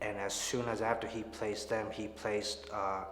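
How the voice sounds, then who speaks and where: Amid audible room echo and noticeable background noise, a man speaks at a fairly slow pace in a fairly low pitch, his intonation monotone and flat. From Chicago area, US Midwest. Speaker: church member. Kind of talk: testimony. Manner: hesitant, many fillers.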